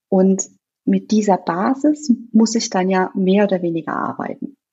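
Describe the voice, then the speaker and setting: A woman speaks at a medium pitch, somewhat breathy. Her intonation is lively. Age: 30s. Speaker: nutrition consultant and fitness coach. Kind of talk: podcast interview.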